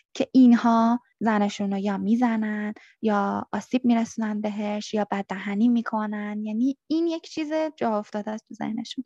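Dry and close with no echo over a quiet background, a woman speaks at a moderate pace in a somewhat breathy, dark, mellow tone, her fairly high pitch held in fairly even intonation. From Iran. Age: 30s. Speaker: returned asylum seeker. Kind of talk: interview testimony.

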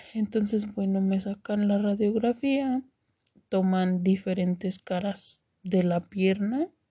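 At a very slow pace, the voice is somewhat breathy with a dark, mellow tone, fairly even intonation and very even loudness. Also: woman, medium pitch for a woman. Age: 30s. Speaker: cancer survivor podcaster. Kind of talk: personal testimony. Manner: hesitant, many fillers.

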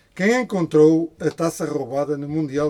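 Noticeable background noise behind a man at fairly high pitch, moderate pace and ordinary pitch variation. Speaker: podcast co-host. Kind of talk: casual chat.

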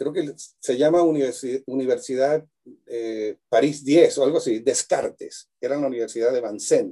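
At a moderate pace, the voice carries a dark, mellow tone with ordinary pitch variation. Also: man. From Venezuela, Maracaibo. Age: 60s. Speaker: luthier and cuatro player. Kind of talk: casual interview chat. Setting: video call from his workshop.

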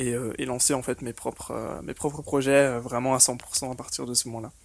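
Male speech at a moderate pace with a monotone, flat intonation. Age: 20s. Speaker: online business operations manager. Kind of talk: interview.

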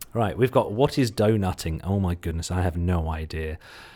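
In a very clean recording with a silent background, a man talks with a slight Suffolk accent. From Suffolk, England. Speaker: podcast host and SEO marketer. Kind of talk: solo podcast talk, rerun of a presentation. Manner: animated, casual.

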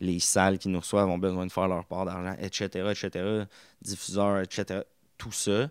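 A man speaks at a fairly slow pace in a very deep, low voice with flat, monotone intonation, recorded very cleanly against a silent background with a dry, close sound and no echo. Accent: Quebec. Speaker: podcast host. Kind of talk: casual monologue.

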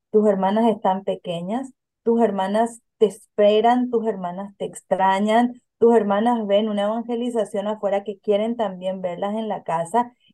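Speaking with hardly any pauses, a woman uses a fairly high pitch, a dark, mellow tone and a monotone, flat intonation at a fairly slow pace. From Paraguay. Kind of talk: interview.

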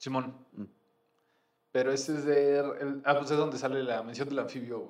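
The speaker has a Mexican accent and a monotone, flat intonation. The pace is moderate, broken by long, frequent pauses. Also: man, fairly high pitch for a man. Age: 30s. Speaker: podcaster. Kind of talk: casual chat.

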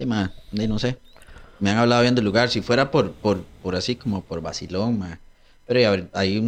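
A man speaks at a moderate pace with a Costa Rican accent and ordinary pitch variation. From Costa Rica, San Pedro. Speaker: martial arts instructor. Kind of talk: casual chat.

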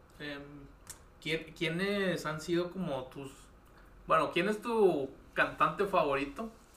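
In a room with audible echo, a man talks very slowly and high-pitched, with ordinary pitch variation and long, frequent pauses. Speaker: podcast host. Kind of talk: casual interview. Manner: halting.

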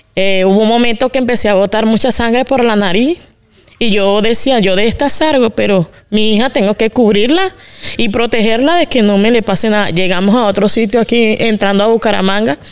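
A woman speaks at a fairly quick pace with a fairly high pitch, very even loudness and ordinary pitch variation, over noticeable background noise. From Venezuela, Carabobo. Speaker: migrant woman, mother. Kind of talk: interview conversation.

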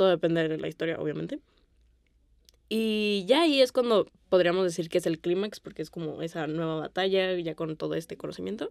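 In a very clean recording with a silent background and a dry, close sound with no echo, a woman with an unremarkable speaking voice talks at a fairly low pitch and fairly quick pace, her pitch varying in an ordinary way. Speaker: film podcast co-host. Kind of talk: casual chat.

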